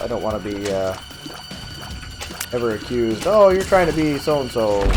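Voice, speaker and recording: Over music in the background and audible room echo, a man of medium pitch mumbles at a fairly quick pace with very wide pitch swings. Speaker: gaming youtuber. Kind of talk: let's play commentary. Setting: basement office. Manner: mumbling; halting.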